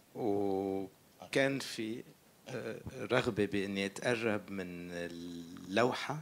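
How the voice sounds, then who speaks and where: A man's fairly low voice with an Arabic accent, ordinary pitch variation and a very slow pace. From Syria. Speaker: film director. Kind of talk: Q&A interview. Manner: halting.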